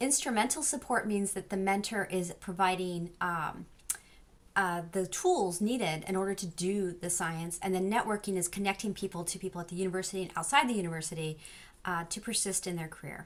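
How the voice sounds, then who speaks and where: With an American accent, a woman speaks at a fairly quick pace in a medium pitch, her pitch varying in an ordinary way. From Southern California. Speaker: social psychology professor. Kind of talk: lecture. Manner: fast.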